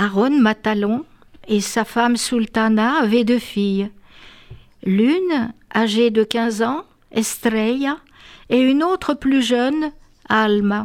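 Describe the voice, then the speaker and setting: A woman with a fairly high pitch speaks at a very slow pace, taking long, frequent pauses, her loudness very even and her pitch varying in an ordinary way. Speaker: author. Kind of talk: reading aloud.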